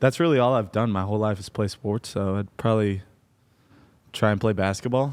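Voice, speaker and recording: On a very clean recording with a silent background, a man talks at a fairly quick pace. He speaks with an American accent. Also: fairly low pitch for a man, ordinary pitch variation. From Iowa, US Midwest. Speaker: football player, podcast co-host. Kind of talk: casual chat.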